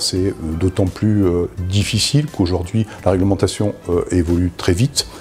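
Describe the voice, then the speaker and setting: A man talks at a moderate pace with a very deep, low pitch. His pitch varies in an ordinary way and his loudness stays very even. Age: 50s. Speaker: data privacy officer. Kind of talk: testimony. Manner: hesitant, many fillers.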